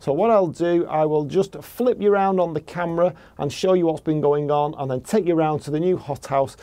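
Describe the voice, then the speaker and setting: Ordinary pitch variation from a man talking at a fairly quick pace. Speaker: gardening vlogger. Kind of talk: casual vlog chat. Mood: pleased, relaxed. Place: garden. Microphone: phone near.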